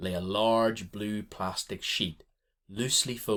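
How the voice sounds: Intonation stays fairly even in this natural reading voice. Little can be heard in the background.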